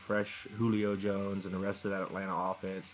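Music plays behind a man whose voice sits fairly low in pitch. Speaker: sports podcast co-host. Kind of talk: pre-recorded picks segment.

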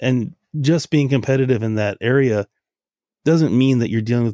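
A man with an American accent talks fairly quickly in an unremarkable speaking voice with ordinary pitch variation. The sound is dry and close with no echo, on a very clean recording with a silent background. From Los Angeles, US West Coast. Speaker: photo booth business owner. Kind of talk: interview.

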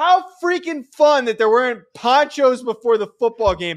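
A man is shouting, loud and with very wide pitch swings. The recording is very clean, with a silent background. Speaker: college football podcast co-host, former college football player. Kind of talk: casual sports chat. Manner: loud, yelling.

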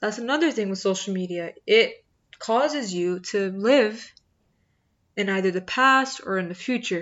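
In a plain, everyday voice, a woman talks at a moderate speed with a fairly high pitch. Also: ordinary pitch variation. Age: 20s. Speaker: podcast host. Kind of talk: casual monologue.

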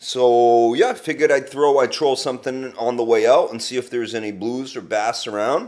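The speaker has an unremarkable speaking voice, talking at a moderate pace with fairly even intonation. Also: man, medium pitch for a man. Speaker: cooking correspondent. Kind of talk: recorded segment, casual.

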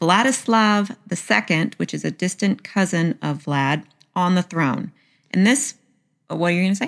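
On a very clean recording with a silent background, a woman with a Southern US accent speaks at a fairly slow pace with lively intonation and medium pitch. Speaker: podcast host. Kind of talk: casual storytelling podcast. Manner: chatty, joking.

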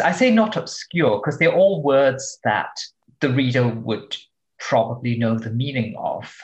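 This man speaks at a moderate pace in a fairly high, somewhat breathy voice that makes very wide pitch swings. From Singapore. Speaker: translator and novelist. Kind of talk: interview conversation.

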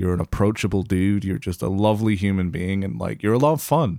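On a very clean recording with a silent background, a man talks at a moderate pace in a plain, everyday voice with ordinary pitch variation. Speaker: podcast host. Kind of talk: casual chat. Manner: casual.

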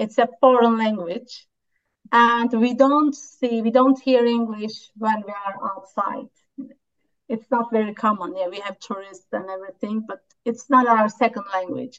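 A woman with a Turkish accent speaks at a fairly slow pace with fairly even intonation. Her fairly high voice shows big swings in loudness. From Turkey. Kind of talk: interview conversation. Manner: hesitant, with fillers.

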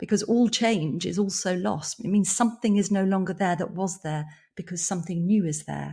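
A woman speaks in a southern English accent at a moderate pace, her voice somewhat breathy with a dark, mellow tone. Her pitch is medium and her intonation fairly even. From England, London and countryside. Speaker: psychotherapist and author. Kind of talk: interview.

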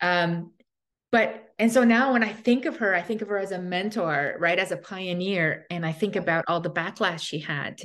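In a quiet background, a woman with an unremarkable speaking voice talks at a moderate pace, with medium pitch and ordinary pitch variation. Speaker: podcast host. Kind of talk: casual interview conversation.

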